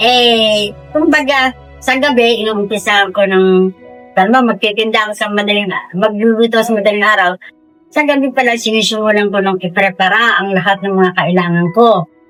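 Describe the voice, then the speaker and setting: There is music in the background as a woman speaks at a moderate pace. Her pitch is fairly high, with ordinary variation. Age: 70s. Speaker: street food vendor, small business owner. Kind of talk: interview answer. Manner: casual, conversational.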